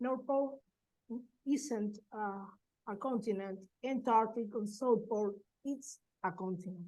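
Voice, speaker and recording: Speaking at a fairly slow pace with long, frequent pauses, a woman with a Spanish accent uses a fairly high pitch and ordinary pitch variation. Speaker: professor. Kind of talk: conference presentation. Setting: webinar. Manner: halting.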